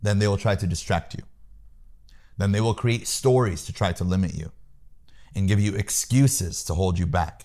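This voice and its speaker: In an American accent, a man with a fairly low pitch and a dark, mellow, somewhat breathy tone speaks at a moderate pace, leaving long, frequent pauses. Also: ordinary pitch variation. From US Midwest, Peoria, Illinois. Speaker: sales trainer. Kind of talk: interview, coaching advice. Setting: home office.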